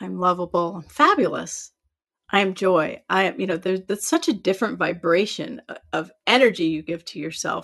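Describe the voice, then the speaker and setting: With an American accent, a woman talks at a moderate pace and a medium pitch. Her intonation is lively and her loudness swings widely. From Iowa. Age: 50s. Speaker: author and life coach. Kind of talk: interview. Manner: animated.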